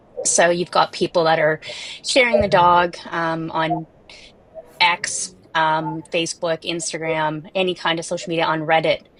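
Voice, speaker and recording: Noticeable background noise runs behind a woman with a fairly low pitch. She speaks at a fairly slow pace in a flat, monotone way. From Canada, Toronto. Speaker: animal welfare tech founder. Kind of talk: panel discussion. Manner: halting, many fillers.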